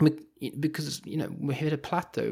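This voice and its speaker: The speaker has a London accent. The recording is very clean, with a silent background. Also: man. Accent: British (London). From London, England. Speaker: professor and author. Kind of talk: interview conversation. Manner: hesitant, fillers.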